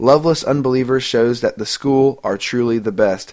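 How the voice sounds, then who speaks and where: A man with an unremarkable speaking voice and medium pitch speaks at a moderate pace on a very clean recording with a silent background. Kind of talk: radio DJ patter introducing songs, casual music-podcast host banter. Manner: chatty, upbeat and conversational, with self-deprecating asides and laughs.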